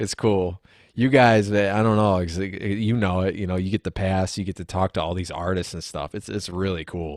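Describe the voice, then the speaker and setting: Recorded very cleanly against a silent background, dry and close with no echo, a man with a very deep, low pitch speaks at a moderate pace with fairly even intonation. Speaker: singer-songwriter musician. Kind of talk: casual interview chat.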